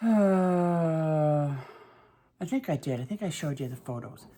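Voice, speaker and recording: A woman speaks with a very deep, low pitch and a dark, mellow tone. Her intonation is lively. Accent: Boston. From Massachusetts, north of Boston. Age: 60s. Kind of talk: casual talk to camera. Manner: chatty, hesitant.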